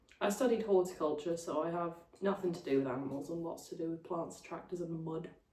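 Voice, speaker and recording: A woman at a fairly low pitch, very fast pace, ordinary pitch variation and audible room echo. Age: 20s. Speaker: podcast co-host, recent graduate. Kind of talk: casual chat.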